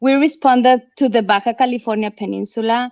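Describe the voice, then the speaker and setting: A woman speaks at a moderate pace with fairly even intonation. The sound is dry and close with no echo, over a quiet background. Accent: Mexican. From Mexico. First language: Spanish. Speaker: nonprofit representative. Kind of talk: online panel interview.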